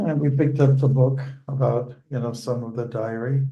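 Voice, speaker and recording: Amid audible room echo, a somewhat breathy man with a dark, mellow tone and medium pitch speaks at a fairly slow pace with fairly even intonation. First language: Dutch. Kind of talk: casual chat before a scripture class.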